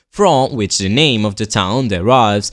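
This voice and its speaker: A man with an Italian accent at medium pitch and moderate pace, on a very clean recording with a silent background. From southern Italy, Basilicata. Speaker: university student presenting his hometown. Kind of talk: scripted narration.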